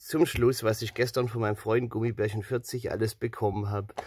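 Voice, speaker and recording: The pitch varies in an ordinary way. The background is quiet and the sound is dry with no echo. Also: man. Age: 30s. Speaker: video creator showing collected items. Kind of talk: show-and-tell haul video. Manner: animated. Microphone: phone near.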